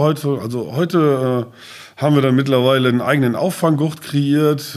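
This man has a plain, everyday voice and speaks at a moderate pace. His pitch varies in an ordinary way. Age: 50s. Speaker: safety trainer and business owner. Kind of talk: casual interview. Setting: on site at training centre.

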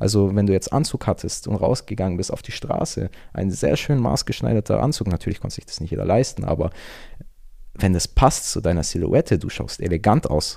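In a very clean recording with a silent background, a man with a dark, mellow tone and fairly low pitch talks at a fairly quick pace, his voice showing vocal fry and very wide pitch swings. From Germany, Augsburg (Bavarian Swabia). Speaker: fashion enthusiast. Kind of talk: casual chat.

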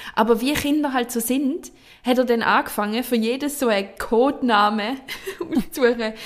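Speaking with a Swiss accent, a woman uses a high pitch, a moderate pace, an animated tone, and ordinary pitch variation. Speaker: podcast co-host. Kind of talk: casual chat. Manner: animated, laughing.

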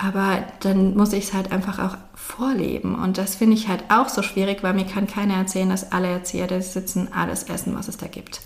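A woman with a medium pitch speaks at a fairly quick pace in a monotone, flat intonation, with audible room echo and noticeable background noise. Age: 30s. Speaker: social worker and daycare consultant. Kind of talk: interview.

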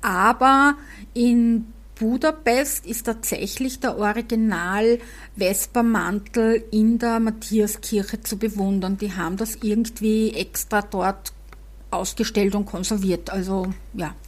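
Speaking very slowly in a Viennese accent, a woman has a medium pitch, a somewhat breathy voice and fairly even intonation. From Vienna, Austria. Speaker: podcast host. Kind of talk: casual chat.

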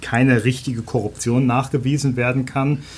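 A man talks at a moderate pace. His medium-pitched voice is somewhat breathy. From Germany. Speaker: newspaper journalist. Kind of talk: podcast interview. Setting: studio.

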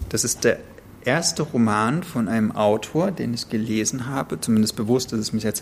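This man has an unremarkable speaking voice, moving at a moderate pace with medium pitch and ordinary pitch variation. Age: 30s. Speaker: podcast co-host. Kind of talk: casual chat about books.

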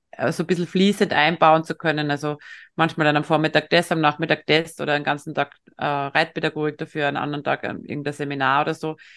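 A woman is speaking over a quiet background. The sound is dry and close, without any echo. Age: 50s. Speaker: veterinarian and equine-assisted coach. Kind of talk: interview.

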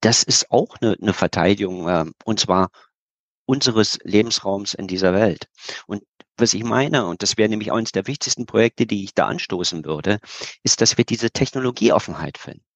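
Recorded with a dry, close sound with no echo and a quiet background, a man with an ordinary speaking voice talks at fairly low pitch and a moderate pace. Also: ordinary pitch variation. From Berlin, Germany. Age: 50s. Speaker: geopolitical expert and speaker. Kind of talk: interview.

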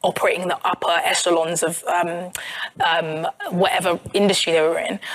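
Over noticeable background noise, a woman with a South London accent talks at a fairly quick pace with fairly even intonation. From South London, England. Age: 30s. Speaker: journalist and author. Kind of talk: live podcast interview.

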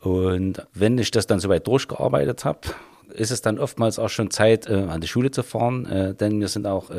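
The man's fairly low voice has a dark, mellow tone and moves at a moderate pace. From Vogtland, Saxony. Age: 50s. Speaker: police officer. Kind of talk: interview.

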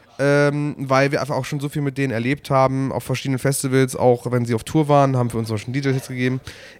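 A man rattles along very fast with monotone, flat intonation. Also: medium pitch for a man, hardly any pauses. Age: 30s. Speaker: music podcast host. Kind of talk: casual chat. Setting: at a music festival. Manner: halting.

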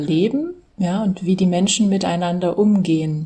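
Slightly breathy and dark, mellow in tone, a woman's fairly low voice moves at a very slow pace with fairly even intonation. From Saxony, Germany (Dresden). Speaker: German language teacher. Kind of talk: interview.

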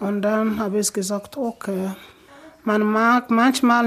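A woman's fairly high voice at a very slow pace, in monotone, flat intonation. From Sierra Leone. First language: not German; learned it in last four years (speaking German). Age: 20s. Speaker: refugee and nursing trainee. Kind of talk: interview. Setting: in her living room at home.

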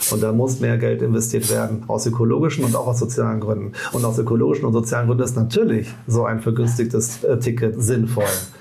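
A man's medium-pitched voice with vocal fry, at a very fast pace with hardly any pauses, fairly even intonation and very even loudness, amid audible room echo. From Rhineland, Bonn. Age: 40s. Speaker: trade union leader. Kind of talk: casual interview. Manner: halting, many restarts.

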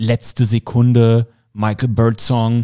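The voice has a dark, mellow tone, heard in a dry, close sound with no echo. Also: man. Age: 30s. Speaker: podcast host and football commentator. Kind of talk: casual interview.

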